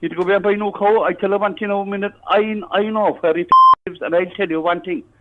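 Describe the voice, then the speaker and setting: A man in a Cork accent, angry in tone, high-pitched with ordinary pitch variation, at a very fast pace. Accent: Irish, Cork. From Ireland. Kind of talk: prank call victim on phone. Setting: phone line. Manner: angry, agitated.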